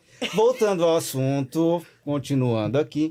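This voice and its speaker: A man with a dark, mellow, fairly high voice talks at a very slow pace with ordinary pitch variation. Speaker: podcast host, lawyer. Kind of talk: casual podcast chat.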